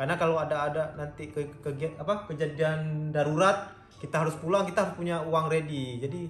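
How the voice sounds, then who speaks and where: Music plays in the background and the room echo is audible. A man talks with hardly any pauses in a fairly high voice, his intonation fairly even. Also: fairly quick pace. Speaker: vlogger. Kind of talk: casual chat.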